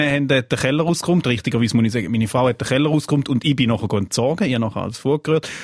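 A man speaks at a very fast pace. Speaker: podcast co-host. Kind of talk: casual chat podcast.

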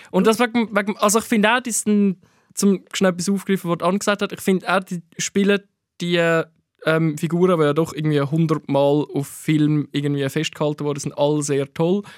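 A man speaks at a moderate pace in a high pitch, with ordinary pitch variation. The recording is very clean, with a silent background. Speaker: podcast host, film critic. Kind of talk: casual chat.

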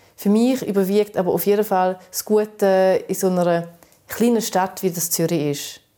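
A woman's medium-pitched voice with a dark, mellow tone and fairly even intonation. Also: moderate pace, big swings in loudness. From eastern Switzerland, St. Gallen area, Balkan family roots. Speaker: podcast co-host. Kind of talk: casual chat.

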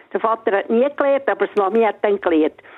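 The background carries noticeable noise. Over it, a woman talks. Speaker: radio caller. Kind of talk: personal storytelling. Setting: phone call.

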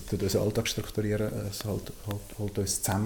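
A fairly low-pitched man's voice with audible room echo and noticeable background noise. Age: 20s. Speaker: theology student and climate activist. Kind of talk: interview. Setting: on location in a community house and garden. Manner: halting, many repetitions and fillers.

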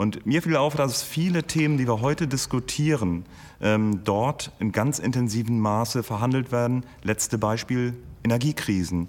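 A man with an ordinary speaking voice talks at a moderate pace with ordinary pitch variation and very even loudness. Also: medium pitch for a man. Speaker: historian. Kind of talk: interview.

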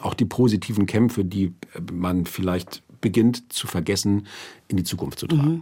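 Lively intonation carries a man's fairly low voice at a moderate pace. His tone is dark and mellow. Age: 50s. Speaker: author and music critic. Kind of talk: radio interview. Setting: studio.

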